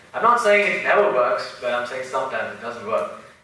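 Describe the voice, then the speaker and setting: There is audible room echo around a man's voice. Noticeable background noise can also be heard. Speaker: entrepreneur, speaker. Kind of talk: lecture. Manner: animated.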